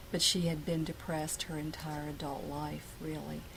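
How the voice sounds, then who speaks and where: A woman's American-accented speech at a middling pace, carrying noticeable room echo. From Ashland, Virginia. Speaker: oral history interviewee. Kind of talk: oral history interview.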